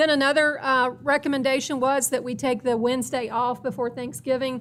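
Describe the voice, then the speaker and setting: On a very clean recording with a silent background, a woman talks at a fairly quick pace with a high pitch and monotone, flat intonation. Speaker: school district administrator. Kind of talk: presentation to school board.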